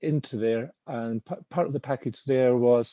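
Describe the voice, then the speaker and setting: Against a quiet background, with a dry, close sound and no echo, a man with a Scottish accent speaks at a moderate pace and medium pitch in a dark, mellow tone with fairly even intonation. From Scotland. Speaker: finance professional. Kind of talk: webinar panel talk. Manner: halting.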